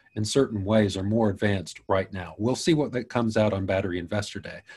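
Fairly low, somewhat breathy male voice at a fairly quick pace, with ordinary pitch variation. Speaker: battery YouTuber and patent specialist. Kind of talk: interview conversation. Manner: hesitant, many fillers.

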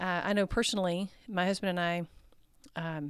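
A woman speaks in a plain, everyday voice with an American accent, at a fairly low pitch and a fairly quick pace. Her intonation is fairly even, and the recording is very clean with a silent background. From Texas. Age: 50s. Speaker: educator and nonprofit training director. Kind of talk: podcast interview.

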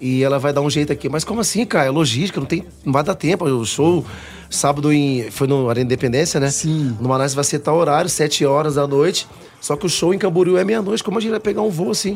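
Someone talks at a very fast pace while music plays behind them. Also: man, fairly high pitch for a man, lively intonation. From Cuiabá, Mato Grosso, Brazil. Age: 30s. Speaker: pagode band vocalist. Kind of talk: radio interview. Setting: radio studio.

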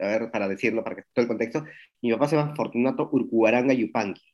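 A man talking at a very fast pace with fairly even intonation against a quiet background. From Peru. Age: 40s. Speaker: street artist. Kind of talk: interview conversation. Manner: hesitant, with fillers.

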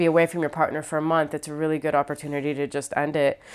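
A woman with an American accent talks at a very fast pace in a fairly low pitch. The recording is very clean, with a silent background. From Ohio, US Midwest. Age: 30s. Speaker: stand-up comedian. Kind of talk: casual interview.

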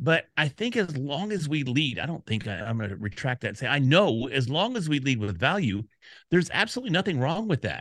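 A man with an American accent speaks at a fairly quick pace and a fairly high pitch, with very wide pitch swings. The sound is dry and close with no echo, over a quiet background. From Texas, Dallas. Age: 50s. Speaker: podcast community expert. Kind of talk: interview. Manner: casual.

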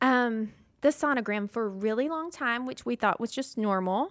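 A woman with a Southern US accent, high in pitch, at a fairly slow pace with ordinary pitch variation, on a very clean recording with a silent background. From Mississippi. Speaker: stay-at-home mother. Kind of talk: testimony.

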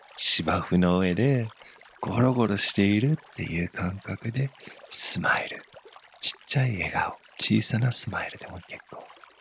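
A warm tone at a fairly slow pace, with big swings in loudness, ordinary pitch variation and noticeable background noise. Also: man, fairly low pitch for a man. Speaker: meditation teacher. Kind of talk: guided meditation. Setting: studio. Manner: soft, warm, encouraging; slow, calm and gentle, with pauses.

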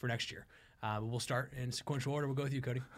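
Very clean, silent-background audio of a male speaker. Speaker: co-host recruiter. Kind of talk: casual chat. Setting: studio. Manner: upbeat, enthusiastic.

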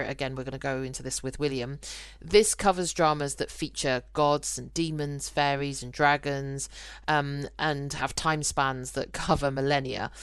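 A woman's very deep, low-pitched voice with fairly even intonation against a quiet background. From UK. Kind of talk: casual podcast conversation.

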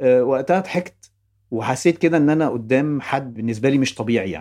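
Speaking at a fairly quick pace, a man with a medium pitch and a dark, mellow tone uses lively intonation. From Egypt, Ibshaway, Fayoum. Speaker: TV and film director. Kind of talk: personal storytelling interview.

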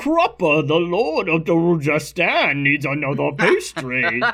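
There is a put-on character voice at a middle pitch, delivered at a moderate pace over light background noise.

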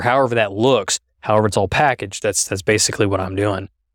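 The speaker has a Midwestern American accent. The delivery comes at a very fast pace. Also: man. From Kansas (Halstead). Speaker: state legislator. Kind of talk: interview.

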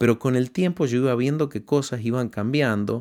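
In a very clean recording with a silent background, a man with a normal speaking voice talks fairly slowly at a medium pitch, his intonation lively. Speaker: radio host and preacher.

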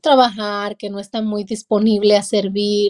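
This woman's voice is fairly high with a dark, mellow tone. The sound is dry and close without echo, on a very clean recording with a silent background. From Mexico, Durango. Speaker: pastor and author. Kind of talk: interview.

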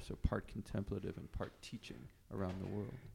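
Fairly low in pitch with vocal fry, a man talks at a fairly quick pace in a dark, mellow tone. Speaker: podcast host. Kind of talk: interview. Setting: in person at a convent.

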